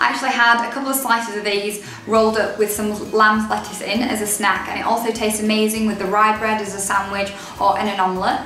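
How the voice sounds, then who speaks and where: A woman at a very fast pace, hardly any pauses, monotone and flat, with light background noise and audible room echo. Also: fairly high pitch for a woman. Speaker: dietitian and blogger. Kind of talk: casual talk to camera. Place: home room. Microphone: camera far.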